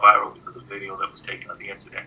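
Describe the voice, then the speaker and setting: A man with an American accent over light background noise. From South Central Los Angeles; California. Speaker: civil rights attorney. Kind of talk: interview. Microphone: video call.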